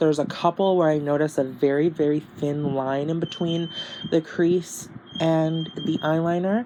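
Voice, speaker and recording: Against noticeable background noise, a woman with a very deep, low voice speaks at a fairly slow pace. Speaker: beauty youtuber. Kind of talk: tutorial. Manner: halting, many fillers; casual.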